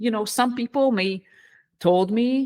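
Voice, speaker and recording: Speaking at a fairly slow pace with a fairly high pitch, a woman with an Israeli accent is heard in a very clean recording against a silent background. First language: Hebrew. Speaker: leadership coach, former engineering director. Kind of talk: podcast interview. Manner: halting.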